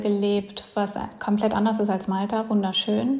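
A woman with a fairly high pitch talks at a moderate pace in a monotone, flat intonation. Noticeable background noise sits behind her. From Germany. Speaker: emigrant and entrepreneur. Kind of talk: interview.

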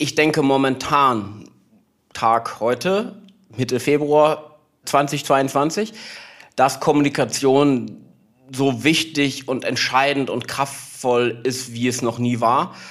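A man with a fairly high pitch and ordinary pitch variation speaks at a very slow pace, leaving long, frequent pauses. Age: 30s. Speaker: PR agency founder. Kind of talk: interview conversation.

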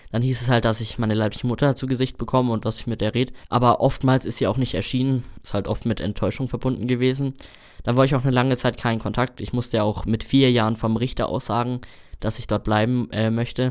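A man's very fast, flat, monotone delivery in a very clean recording with a silent background. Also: medium pitch for a man. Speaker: trainee chimney sweep. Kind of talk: interview.

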